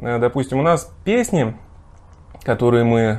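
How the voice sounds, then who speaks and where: With very wide swings in pitch, a man speaks at a medium pitch. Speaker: folk singer and songwriter. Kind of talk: casual chat. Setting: hotel room.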